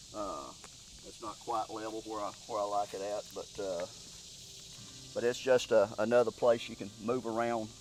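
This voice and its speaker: A man speaks at a moderate pace in a medium pitch, his loudness swinging widely and his fairly even intonation broken by long, frequent pauses. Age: 60s. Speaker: deer hunter. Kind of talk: casual chat. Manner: halting.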